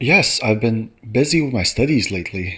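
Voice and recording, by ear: A man's bright, sharp voice with a slightly husky edge and lively intonation, on a very clean recording with a silent background. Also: medium pitch for a man, moderate pace.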